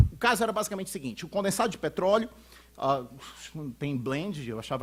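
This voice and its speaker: This man talks at a very fast pace, his pitch swinging very widely. His voice is somewhat breathy. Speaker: lawyer and law professor, conference speaker. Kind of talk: conference lecture. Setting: auditorium with audience. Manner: halting, many repetitions and fillers.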